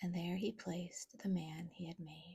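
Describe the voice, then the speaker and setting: Soft-spoken and with a gentle, soothing tone, the voice moves at a very slow pace. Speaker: ASMR creator. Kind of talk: soft-spoken Bible reading for sleep. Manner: soft-spoken, gentle, soothing.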